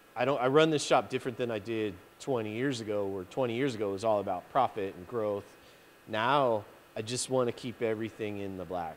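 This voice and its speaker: Over light background noise, a man talks with ordinary pitch variation. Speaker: interviewee. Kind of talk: interview answer. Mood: relaxed, reflective, some laughter. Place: workshop. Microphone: handheld.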